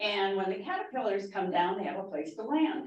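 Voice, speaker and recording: A woman speaks with an American accent, her pitch swinging very widely. The room echo is audible. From Minnesota. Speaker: master gardener. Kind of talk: public talk.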